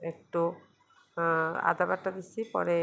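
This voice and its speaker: This woman talks with a fairly low pitch. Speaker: cooking vlogger. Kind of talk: cooking vlog narration. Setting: home kitchen. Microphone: mobile phone.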